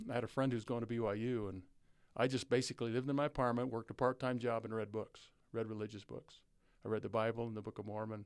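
Very fast, a man talks at a medium pitch in monotone, flat intonation. He has an American accent. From southeastern Utah. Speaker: former basketball coach and prison educator. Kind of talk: interview.

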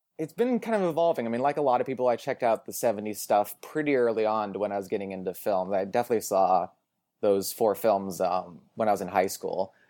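A man with a West Coast accent, fairly low in pitch, with ordinary pitch variation, a very fast pace and a dark, mellow tone. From US Pacific Northwest, Portland, Oregon. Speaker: film writer and podcaster. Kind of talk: casual chat.

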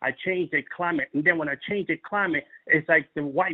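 Animated and passionate, a man with an American accent speaks at a moderate pace in a high pitch. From New York City. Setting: audio podcast broadcast. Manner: animated, passionate.

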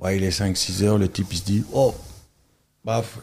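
A man's fairly low, dark, mellow voice at a fairly slow pace, with ordinary pitch variation, on a very clean recording with a silent background. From Belgium, Charleroi area. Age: 40s. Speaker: tour guide and artist. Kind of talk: casual chat.

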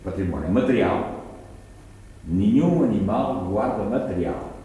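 Amid noticeable background noise and audible room echo, a man speaks at a fairly slow pace with very wide pitch swings. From Angola. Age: 80s+. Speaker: botanist professor. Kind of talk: interview. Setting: university room.

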